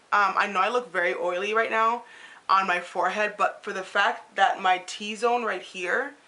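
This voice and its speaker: This is an ordinary speaking voice. A woman talks at a medium pitch with lively intonation. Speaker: beauty vlogger. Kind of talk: casual talk to camera.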